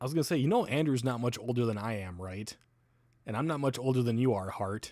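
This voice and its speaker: Talking very fast with an American accent, a man uses a medium pitch, ordinary pitch variation and a dark, mellow tone, recorded very cleanly against a silent background. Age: 30s. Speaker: livestreamer. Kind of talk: casual livestream chat. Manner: casual, rambling with fillers.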